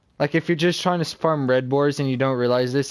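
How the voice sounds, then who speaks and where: A man mumbles quietly. The recording is very clean, with a silent background. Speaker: video game streamer. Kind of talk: gameplay tutorial commentary. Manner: mumbling.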